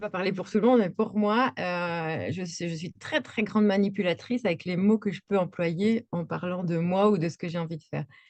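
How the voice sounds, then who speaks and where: With pitch that moves in a normal way, a woman talks at a moderate speed. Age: 40s. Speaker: equine coach and art therapist. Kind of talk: interview. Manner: hesitant, many fillers.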